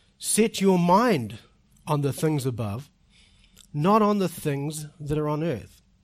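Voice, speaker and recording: A man with a New Zealand accent speaks very slowly in a fairly high pitch, with lively intonation and long, frequent pauses. The recording is very clean, with a silent background. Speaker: visiting preacher and doctoral student. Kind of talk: sermon. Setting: church.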